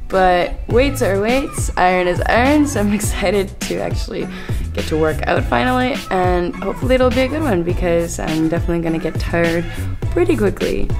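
Over clear music in the background, a woman talks at a fairly quick pace. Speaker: fitness travel vlogger. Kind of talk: casual vlog chat. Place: gym. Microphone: phone near.

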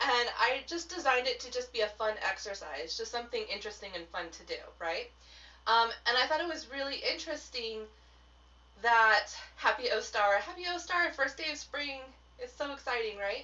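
Very wide pitch swings and big swings in loudness at a moderate pace. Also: woman, high pitch for a woman. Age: 30s. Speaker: tarot business mentor and witchcraft teacher. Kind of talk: live stream talk to viewers. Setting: solo live video stream. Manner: casual, chatty. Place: home room.

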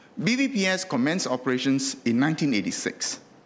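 A man speaks with a Singaporean accent. His pitch swings very widely. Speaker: member of parliament. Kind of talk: parliamentary speech, formal oratory. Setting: parliament chamber. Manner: formal, measured, lawyerly; earnest, mildly anecdotal with dry humour. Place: hall. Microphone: podium.

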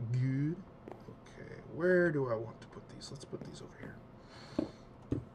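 A man whispers at a very slow pace. There is audible room echo around him. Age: 30s. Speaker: gaming youtuber. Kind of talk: casual gameplay commentary. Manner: halting, many fillers.

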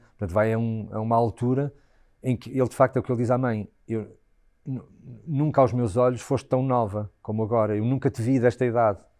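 Against a quiet background, a man with a dark, mellow tone talks at a fairly quick pace. He takes long, frequent pauses, and his intonation is fairly even. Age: 40s. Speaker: stage actor. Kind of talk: interview. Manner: halting, many repetitions and fillers. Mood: thoughtful, reflective. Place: home room. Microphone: lapel.

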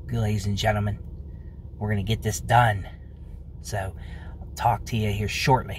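The sound is dry with no echo, with light background noise behind a man talking at a moderate pace. He has a normal speaking voice, fairly low in pitch, with ordinary pitch variation. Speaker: vlogger. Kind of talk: casual vlog chat. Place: car. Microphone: phone near.

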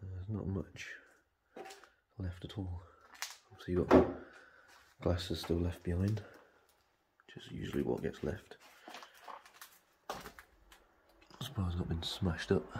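The speech has long, frequent pauses. Noticeable background noise sits behind it. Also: moderate pace. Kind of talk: casual exploration commentary. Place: bar. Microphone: phone near.

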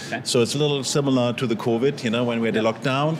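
Amid noticeable background noise, a man with a German accent talks at a very fast pace, his medium pitch held in fairly even intonation. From Germany. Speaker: filmmaker. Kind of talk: interview. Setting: red carpet. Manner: halting. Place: hall. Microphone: handheld.

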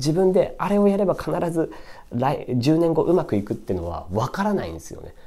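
This man's voice has a dark, mellow tone and is somewhat breathy. His pitch swings very widely. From Tokyo, Japan. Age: 20s. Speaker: YouTuber reviewing books; book review vlogger. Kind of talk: casual solo monologue book review; casual vlog chat. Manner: rambling, filler-heavy. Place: home room. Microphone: camera far.

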